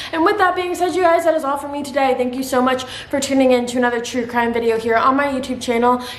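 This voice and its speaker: A woman talks very fast in an animated tone at a high pitch, with ordinary pitch variation. Audible room echo and noticeable background noise surround her voice. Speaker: true crime youtuber. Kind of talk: scripted narration.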